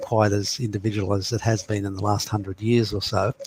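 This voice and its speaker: Very cleanly recorded against a silent background, a man speaks somewhat breathily at a fairly low pitch and a fairly quick pace. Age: 60s. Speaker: astrologer. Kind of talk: interview.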